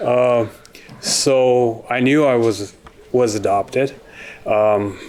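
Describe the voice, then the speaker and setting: A man speaking at a very slow pace with fairly even intonation, audible room echo and noticeable background noise. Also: medium pitch for a man. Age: 60s. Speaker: plaintiff in a TV court case. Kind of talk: courtroom testimony. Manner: halting.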